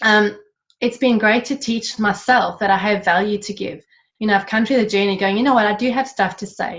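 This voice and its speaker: A woman's fairly quick, fairly high-pitched speech with fairly even intonation and an Australian accent. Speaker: network marketing distributor. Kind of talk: panel interview. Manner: fast.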